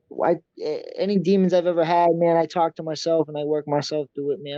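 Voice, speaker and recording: A man's high-pitched, monotone voice with flat intonation and an American accent, delivered at a very fast pace. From Massachusetts, US. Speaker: MMA fighter. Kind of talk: interview.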